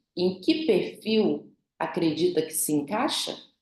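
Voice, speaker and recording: Amid audible room echo, a woman at a medium pitch speaks at a very slow pace with very wide pitch swings. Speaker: behavioral profile specialist, instructor. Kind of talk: online class, interactive lecture.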